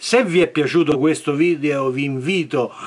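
This man talks at a moderate pace in a fairly high pitch. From Italy. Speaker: firearms channel host. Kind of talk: tutorial. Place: home room. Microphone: phone near.

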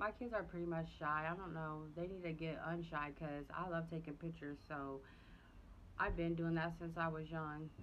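With a Southern US accent, a woman speaks at a moderate pace in a fairly low pitch and fairly even intonation over light background noise. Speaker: family vlogger. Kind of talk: casual vlog chat to camera. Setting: outdoors on porch, filming on phone. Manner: casual, chatty. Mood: relaxed, chatty. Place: home room. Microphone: phone near.

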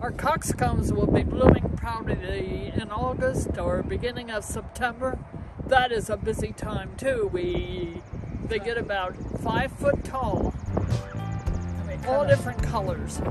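Despite loud background noise, a woman's voice sounds dry with no echo as she speaks at a fairly slow pace. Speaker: flower gardener. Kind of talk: garden tour talk to camera. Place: garden.

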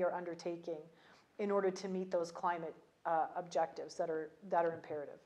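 Woman talking at a very fast pace. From Canada. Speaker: ambassador; interviewee. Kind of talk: interview. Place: home room. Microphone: lapel.

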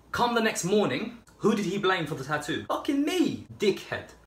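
Someone with a British accent speaks at a moderate pace with very wide pitch swings, and the room echo is audible. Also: man. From Albania, raised in England from age 6. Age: 20s. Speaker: YouTuber; vlogger. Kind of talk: casual Q&A video monologue. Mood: joking, sarcastic comedic tone. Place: kitchen. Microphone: phone near.

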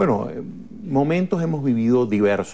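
Dark and mellow in tone, a man's voice shows ordinary pitch variation. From Venezuela, Lara state. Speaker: politician. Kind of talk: TV interview. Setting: TV studio. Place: studio.

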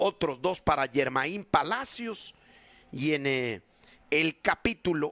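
Lively intonation and a bright, sharp tone come through at a very slow pace, in a dry, close sound with no echo. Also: man. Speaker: baseball commentator. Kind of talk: sports highlights narration, recapping plays.

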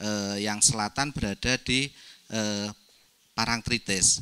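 This man's tone is bright and sharp, and his intonation stays fairly even. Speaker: regional government official; speaker. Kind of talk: presentation. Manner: hesitant, many fillers. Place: meeting room.

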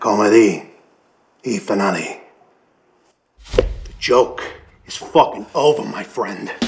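Putting on a raspy, menacing character voice at a medium pitch, a man speaks at a fairly slow pace with long, frequent pauses and big swings in loudness. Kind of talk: gangster movie parody. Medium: comedy sketch. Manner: menacing, gruff, profane.

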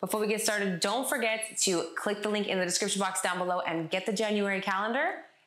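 Audible room echo and light background noise surround a woman's voice. She talks at a fairly quick pace with ordinary pitch variation. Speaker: fitness instructor. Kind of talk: tutorial. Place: home room.

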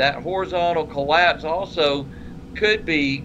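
A man talks while noticeable background noise carries on around him. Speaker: co-host. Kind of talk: casual technical discussion. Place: home room. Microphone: webcam.

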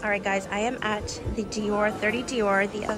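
A woman speaks over loud background noise. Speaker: fashion vlogger. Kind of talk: casual vlog chat. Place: shop. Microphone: phone near.

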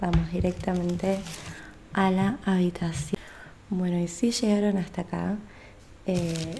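A woman with fairly low pitch and fairly even intonation at a fairly slow pace, over light background noise. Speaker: vlogger. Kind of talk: casual vlog chat. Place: home room. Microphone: studio mic.

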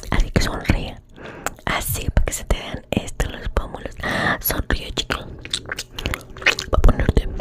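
Over loud background noise, a woman speaks softly and very slowly in a dry sound with no echo. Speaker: ASMR streamer. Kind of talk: soft ASMR role-play chat to viewers. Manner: soft close-mic ASMR murmur. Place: home room. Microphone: studio mic.

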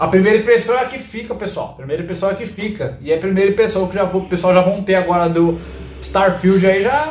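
The speaker goes at a very fast pace, with audible room echo and light background noise. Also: man, ordinary pitch variation. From Brazil. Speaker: gaming YouTuber. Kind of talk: angry rant. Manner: indignant, loud, exasperated, repeating 'cara' and 'pessoal'. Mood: exasperated, complaining. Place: home room.

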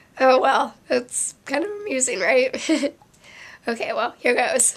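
High-pitched and fairly slow, a woman speaks with very wide pitch swings. Noticeable background noise is present. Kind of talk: casual vlog talk to camera.

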